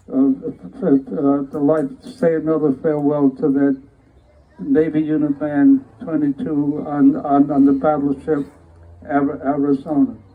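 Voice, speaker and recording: This man's voice sits fairly high in pitch, with noticeable background noise behind it. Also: ordinary pitch variation, fairly slow pace. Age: 80s+. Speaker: Navy veteran and band conductor. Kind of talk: testimony. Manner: halting, many repetitions.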